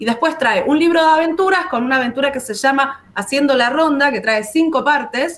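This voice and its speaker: Talking at a fairly quick pace with hardly any pauses, a woman has a high pitch and ordinary pitch variation. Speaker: board game company presenter; presenter. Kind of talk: casual chat. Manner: animated. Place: home room.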